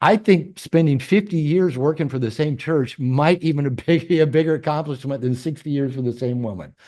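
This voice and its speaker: Against a quiet background, a man talks at a fairly quick pace with a dark, mellow tone, fairly high pitch and lively intonation. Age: 60s. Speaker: podcast host and therapist. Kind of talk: interview. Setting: video call.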